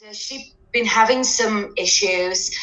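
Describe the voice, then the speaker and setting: With noticeable background noise and audible room echo, a woman speaks in a British accent at a fairly slow pace. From UK. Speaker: dance teacher and parent. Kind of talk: testimonial interview. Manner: hesitant, many fillers.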